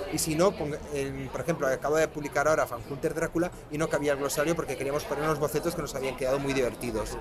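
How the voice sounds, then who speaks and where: A man talking at a very fast pace over crowd noise in the background. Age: 40s. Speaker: comic book author. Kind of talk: interview. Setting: fan convention.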